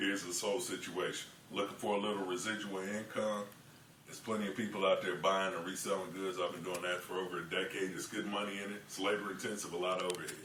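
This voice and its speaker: Against noticeable background noise, a man speaks very fast with an American accent. His pitch is fairly low and his intonation is monotone and flat. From Kansas City, Missouri. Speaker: auctioneer. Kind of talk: casual talk to camera, tutorial.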